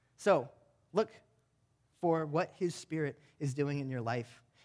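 His pitch varies in an ordinary way as this man delivers his words fairly slowly. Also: long, frequent pauses. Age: 20s. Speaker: pastor. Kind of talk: sermon. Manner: halting.

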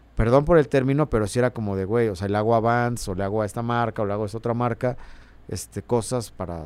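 A man's medium-pitched voice, with ordinary pitch variation, moves at a very fast pace. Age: 40s. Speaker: musician. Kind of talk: casual chat.

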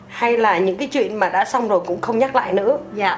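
With noticeable background noise behind her, a woman speaks at a fairly quick pace in a high pitch with lively intonation. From Vietnam. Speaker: fashion company employee. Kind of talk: interview.

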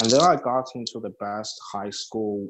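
Here is a man with a Chinese accent. His pitch is medium. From small-town China. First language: Mandarin Chinese. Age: 20s. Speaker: MBA student. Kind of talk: casual interview. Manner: halting.

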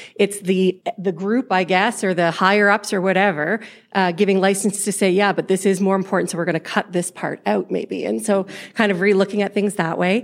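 With a plain, everyday voice, a woman speaks at medium pitch and a fairly quick pace with fairly even intonation. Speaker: educator. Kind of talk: group discussion report. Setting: stage with audience.

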